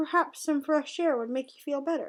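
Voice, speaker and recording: Putting on a character voice, a woman speaks at a moderate pace with a high pitch and a gentle tone. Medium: read story. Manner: gentle, mild.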